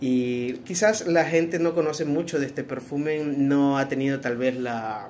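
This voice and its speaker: At a fairly slow pace with hardly any pauses, the voice shows ordinary pitch variation over light background noise. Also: man, fairly high pitch for a man. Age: 40s. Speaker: perfume reviewer. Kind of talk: product review. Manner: hesitant, many fillers. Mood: relaxed, friendly. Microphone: phone near.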